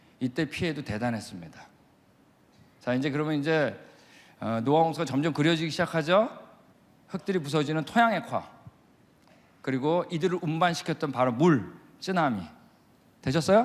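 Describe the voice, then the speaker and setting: The speaker's tone is animated, with lively intonation. Long, frequent pauses break up the speech. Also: man, fairly high pitch for a man. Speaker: creation science missionary lecturer. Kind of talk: lecture. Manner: fast.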